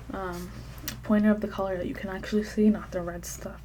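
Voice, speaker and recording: A soft-spoken woman at a fairly quick pace, playful in tone. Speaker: ASMR creator doing a doctor roleplay. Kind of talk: ASMR medical roleplay, soft-spoken talk to the viewer. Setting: close-mic ASMR recording. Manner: soft-spoken, playful, chatty.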